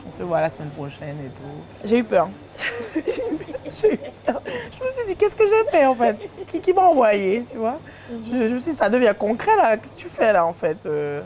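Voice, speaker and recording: This woman's loudness swings widely as she speaks at a moderate pace. Noticeable background noise runs underneath. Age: 30s. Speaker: comedian and content creator. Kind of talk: casual interview.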